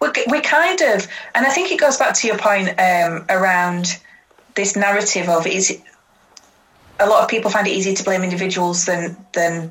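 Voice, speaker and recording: With a Yorkshire accent, a woman speaks at a medium pitch and a fairly slow pace. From Yorkshire, Huddersfield. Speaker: social justice activist. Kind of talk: casual interview chat.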